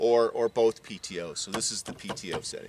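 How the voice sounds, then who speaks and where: There is light background noise, and the sound is dry with no echo. The man's pitch varies in an ordinary way. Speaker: tractor reviewer. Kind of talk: product walkthrough commentary. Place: garden.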